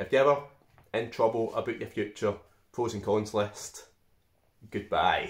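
A somewhat breathy man at a moderate pace, with monotone, flat intonation. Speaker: vlogger giving life advice. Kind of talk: casual vlog chat. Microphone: phone near.

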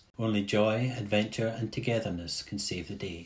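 A man with a fairly low, somewhat breathy voice is talking. He moves at a fairly quick pace with ordinary pitch variation. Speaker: audio describer. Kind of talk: audio description narration.

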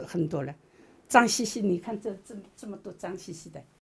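A woman is speaking. Her voice has vocal fry. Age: 70s. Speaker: landlord. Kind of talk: complaint to reporter. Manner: animated.

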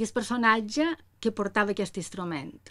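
The background is quiet. A woman speaks with a fairly high pitch. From Mallorca, Felanitx; Mallorca, Spain. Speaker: musicologist and music teacher; music teacher. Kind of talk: panel talk about research. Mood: calm, friendly. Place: office. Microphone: camera far.

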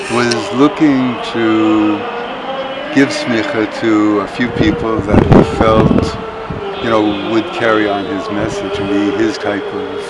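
Against loud background noise, a man talks very slowly with long, frequent pauses and ordinary pitch variation. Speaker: interviewee. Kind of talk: interview answer. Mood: warm, reflective, smiling. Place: open country.

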